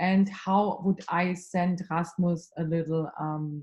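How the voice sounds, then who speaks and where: The woman's voice has some breathiness. It sits fairly low. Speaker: consulting skills trainer. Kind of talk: online workshop. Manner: fast.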